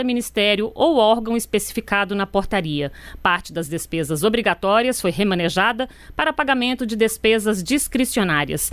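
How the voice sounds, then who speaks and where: A woman talks at a moderate pace and medium pitch with lively intonation. Hers is an unremarkable speaking voice. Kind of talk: news reading. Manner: formal, steady, neutral newsreader delivery; brisk, even pacing, sober tone.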